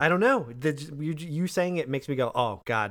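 On a very clean recording with a silent background, a man with an ordinary speaking voice talks at a fairly quick pace and fairly high pitch, his intonation lively. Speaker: co-host. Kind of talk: casual chat.

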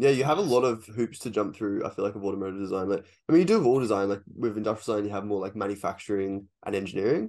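With an Australian accent, a man talks at a very fast pace with hardly any pauses. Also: fairly low pitch for a man, ordinary pitch variation, quiet background. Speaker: podcast host. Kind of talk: casual interview chat. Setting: video call.

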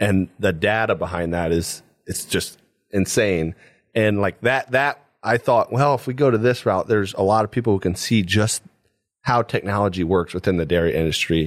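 With a Midwestern American accent, a man with a fairly low pitch speaks at a moderate pace in a very clean recording with a silent background and a dry, close sound with no echo. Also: ordinary pitch variation. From Paulding County, northwest Ohio. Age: 20s. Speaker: dairy farm manager. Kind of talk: interview.

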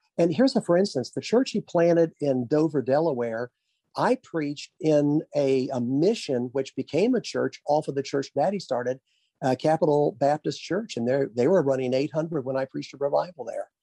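Speaking at a moderate pace in a Southern US accent, the voice has a dark, mellow tone and ordinary pitch variation, with a dry, close sound and no echo. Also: man, fairly high pitch for a man. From Arkansas. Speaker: pastor. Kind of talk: interview.

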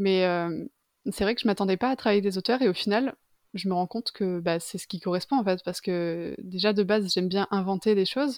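A woman with an ordinary speaking voice talks at a fairly quick pace and medium pitch, her pitch varying in an ordinary way, in a very clean recording with a silent background and a dry, close sound with no echo. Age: 20s. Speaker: freelance illustrator. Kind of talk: casual interview.

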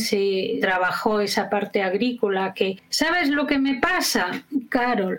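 Noticeable background noise accompanies a woman talking very slowly. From Spain. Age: 60s. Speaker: educator and biographical work trainer. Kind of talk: interview.

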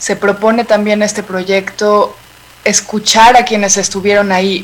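A woman speaks fairly slowly with a fairly high pitch. Background noise is noticeable. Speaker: podcast producer. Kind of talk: interview.

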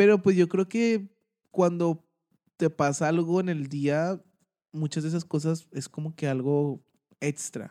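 A man with a dark, mellow tone and fairly high pitch speaks at a fairly slow pace with long, frequent pauses and ordinary pitch variation, in a dry, close sound with no echo. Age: 20s. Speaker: podcast co-host. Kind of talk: casual chat.

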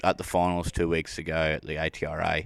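In a very clean, dry and close recording with no echo and a silent background, a man with an Australian accent speaks in a very deep, low pitch with fairly even intonation. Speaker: podcast host. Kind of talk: casual interview. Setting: at a rodeo event.

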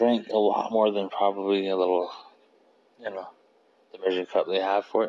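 A man speaks in a flat, monotone way with no rise or fall. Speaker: solo podcaster. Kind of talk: casual monologue. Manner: halting.

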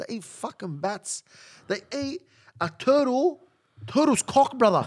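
A man with an Australian accent and very wide pitch swings. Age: 30s. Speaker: podcast co-host. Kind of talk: casual chat. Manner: animated.

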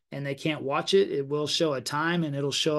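Against a quiet background, a man with fairly high pitch talks at a moderate pace in a monotone, flat delivery. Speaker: real estate agent and podcast host. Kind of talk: live stream coaching session. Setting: online live stream.

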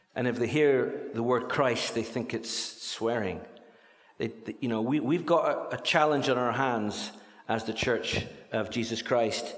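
Amid audible room echo and noticeable background noise, a man speaks at a medium pitch and fairly slow pace with fairly even intonation. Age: 60s. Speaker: charity speaker. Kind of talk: church talk.

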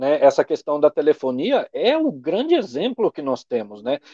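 In a dry, close sound with no echo, a man with a dark, mellow tone and fairly high pitch talks at a moderate pace with very wide pitch swings. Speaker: livestream host. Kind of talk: casual political discussion on a livestream. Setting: live video stream.

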